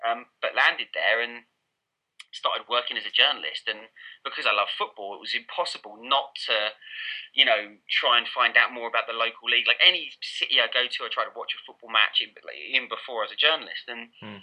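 A man talks at a fairly quick pace in an Essex accent. His loudness swings a lot. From Essex, England. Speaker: football journalist and author. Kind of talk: casual interview chat. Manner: informal, hesitant with fillers.

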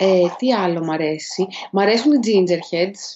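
A woman is speaking. Her pace is moderate. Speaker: podcast co-host. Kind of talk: casual chat. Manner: animated. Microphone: poor sound quality, mic misused until now.

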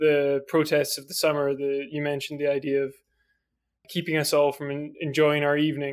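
A man speaks with a Scottish accent. His pitch is fairly high. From Scotland. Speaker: podcast host. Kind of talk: interview.

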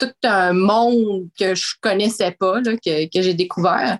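A woman at medium pitch talks at a very slow pace, and the sound is dry and close with no echo. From Quebec City, Quebec. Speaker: mining community relations director. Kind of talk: interview. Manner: halting.

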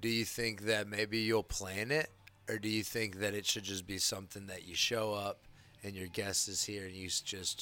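With a fairly low pitch, this man's tone is bright and sharp. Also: moderate pace. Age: 30s. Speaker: comedian. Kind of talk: casual chat. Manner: animated.

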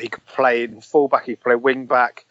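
A man speaks at a medium pitch in a plain, everyday voice. His intonation stays fairly even. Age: 20s. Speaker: football podcaster. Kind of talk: casual chat.

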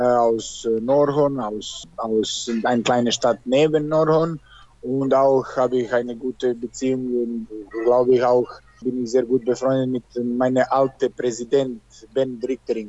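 Over noticeable background noise, a man with a Serbian accent talks slowly and flatly in a monotone, at medium pitch. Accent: Serbian accent, speaks German very well. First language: Serbian (speaking German). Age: 30s. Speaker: handball player. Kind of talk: interview. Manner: halting.

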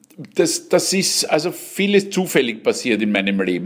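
Clearly audible noise fills the background. A man talks over it. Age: 60s. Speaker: cabaret artist and actor. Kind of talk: interview.

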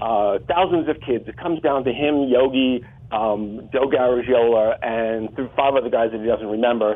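A plain, everyday voice with an American accent speaks at a moderate pace with ordinary pitch variation. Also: man. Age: 60s. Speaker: author. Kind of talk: interview.

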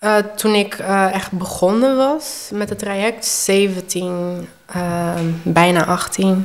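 Noticeable background noise runs behind a woman of medium pitch. She talks at a very slow pace with ordinary pitch variation. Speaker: transgender woman sharing her story, hairdresser. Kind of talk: personal testimony in interview.

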